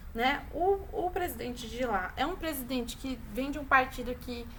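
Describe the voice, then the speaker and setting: A woman speaks at a high pitch, her voice carrying audible room echo. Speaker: teacher. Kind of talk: online class lecture.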